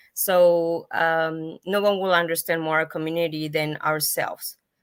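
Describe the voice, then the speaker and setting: A woman's very deep, low-pitched voice with a Spanish accent and monotone, flat intonation, on a very clean recording with a silent background. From Mexico. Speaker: patient advocate, foundation founder. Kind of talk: panel discussion. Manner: halting.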